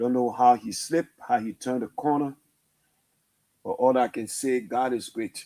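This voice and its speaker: Speaking at a moderate pace, a man uses a medium pitch, fairly even intonation and a dark, mellow tone. Long, frequent pauses break up his speech, and the sound is dry and close with no echo. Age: 60s. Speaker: radio host. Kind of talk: emotional radio monologue.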